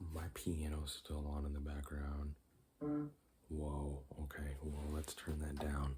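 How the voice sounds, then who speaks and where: Soft-spoken and somewhat breathy, a man speaks very slowly in a very deep, low, dark and mellow voice with monotone, flat intonation. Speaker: ASMR creator. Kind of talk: ASMR casual talk to camera.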